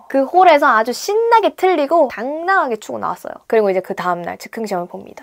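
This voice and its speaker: The voice races at a very fast pace with hardly any pauses, very wide pitch swings and big swings in loudness. The recording is very clean, with a silent background. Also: woman, high pitch for a woman. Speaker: dancer and beauty vlogger. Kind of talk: casual chat while doing makeup. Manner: animated.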